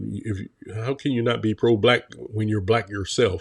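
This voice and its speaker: A man with a fairly low pitch and a somewhat breathy voice speaks at a moderate pace against a quiet background. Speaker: internet radio host. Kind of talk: casual monologue commentary. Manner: halting, many fillers.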